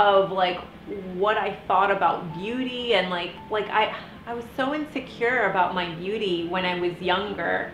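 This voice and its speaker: A woman speaks at a fairly slow pace, her medium pitch showing ordinary variation. Noticeable background noise can be heard behind her. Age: 30s. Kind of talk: casual talk to camera.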